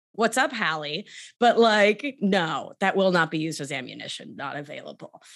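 Moderate-paced speech in a New York accent, with very wide pitch swings, big swings in loudness, and a quiet background. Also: woman, medium pitch for a woman. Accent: New York American. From Argentina, raised in New York. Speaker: somatic life coach and nurse practitioner. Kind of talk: casual interview.

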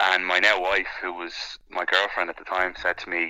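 A man speaks with an Irish accent. His pitch is very deep and low, with a bright, sharp tone. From Ireland. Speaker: sports commentator. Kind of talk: interview.

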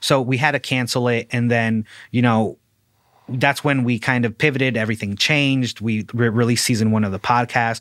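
Speaking fairly quickly with fairly even intonation and a Midwestern accent, the voice comes across dry and close with no echo on a very clean recording with a silent background. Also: man, medium pitch for a man. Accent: general American, Midwestern. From Ciudad Juarez, Mexico, raised Fort Wayne, Indiana. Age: 30s. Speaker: graphic designer and podcaster. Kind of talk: casual interview.

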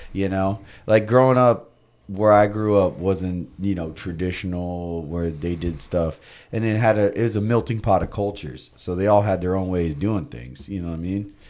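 A man with an American accent talks at a moderate pace in a very deep, low voice with ordinary pitch variation. The recording is very clean, with a silent background. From Florida, US. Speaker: skateboarder and radio host. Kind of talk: casual chat. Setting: studio.

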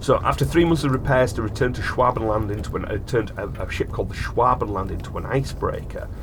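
Over noticeable background noise, a man speaks at a very fast pace with hardly any pauses. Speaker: podcast host. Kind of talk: casual chat.

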